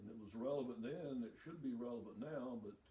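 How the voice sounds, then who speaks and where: In an Appalachian accent, the voice has a dark, mellow tone and fairly even intonation at a fairly quick pace, with audible room echo. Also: man. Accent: Appalachian Southern US. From US South, eastern Kentucky. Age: 60s. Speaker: retired preacher and factory mechanic. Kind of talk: interview.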